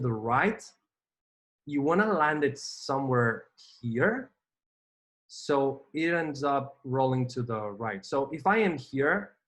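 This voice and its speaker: A man's fairly high-pitched voice with a Spanish accent, lively intonation and a very slow pace. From Spain. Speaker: gaming vlogger. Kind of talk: gameplay commentary. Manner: casual, hesitant with fillers.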